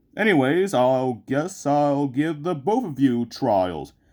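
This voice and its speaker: In a very clean recording with a silent background, a man does a put-on character voice at a fairly high pitch and a moderate pace. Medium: machinima. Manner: sarcastic, blunt.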